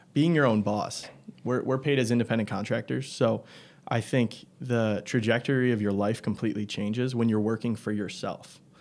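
An unremarkable speaking voice from a man with an American accent, medium pitch, moderate pace and fairly even intonation. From Michigan. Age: 20s. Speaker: door-to-door salesman. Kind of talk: casual interview.

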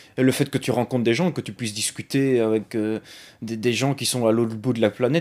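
A man talks at a medium pitch. His pace is moderate and his intonation fairly even. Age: 20s. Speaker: gamer. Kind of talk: interview testimony. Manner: halting.

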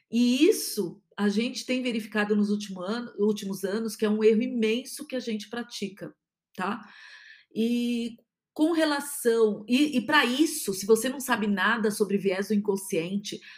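A woman talks at a moderate pace with a fairly high pitch. Her voice is somewhat breathy, with ordinary pitch variation. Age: 50s. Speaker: podcast host, positive psychology speaker. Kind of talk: solo podcast monologue.

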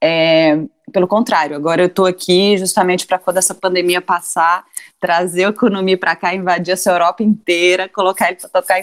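A woman with a fairly low pitch and ordinary pitch variation talks at a fairly quick pace, her sound dry and close with no echo. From Brazil, interior of Minas Gerais. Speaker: cultural producer and press officer. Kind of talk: casual chat.

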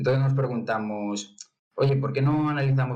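At a moderate pace, a man with a normal speaking voice talks with fairly even intonation. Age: young. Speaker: startup cofounder. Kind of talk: pitch presentation.

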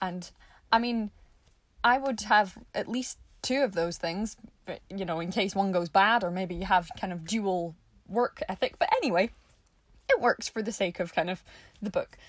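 With a Scottish accent, a woman speaks at a medium pitch and moderate pace, her pitch varying in an ordinary way on a very clean recording with a silent background. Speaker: podcast host. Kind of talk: casual solo podcast monologue. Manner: chatty, informal.

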